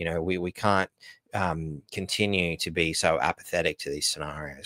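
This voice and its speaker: A man in an Australian accent at a moderate pace, a very clean recording with a silent background and a dry, close sound with no echo. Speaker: livestream host. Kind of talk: casual live stream talk. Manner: halting, many fillers and restarts.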